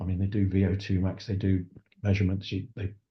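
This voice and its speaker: A man with a southern English accent talks at a very fast pace. His very deep, low voice is somewhat breathy. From England, Essex. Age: 60s. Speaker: sustainability consultant. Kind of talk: interview conversation. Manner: halting.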